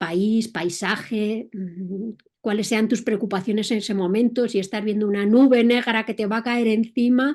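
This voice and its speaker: A woman in a Madrid accent, fairly high-pitched and fairly slow, with fairly even intonation. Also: very clean recording, silent background. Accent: Castilian Spanish (Madrid). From Spain, Madrid. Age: 60s. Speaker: entrepreneur and motorcycle traveler. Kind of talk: interview.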